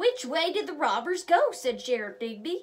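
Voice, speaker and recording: A woman performs a put-on character voice at an extremely high pitch with very wide pitch swings. Her pace is moderate. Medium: read story. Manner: authoritative, explanatory.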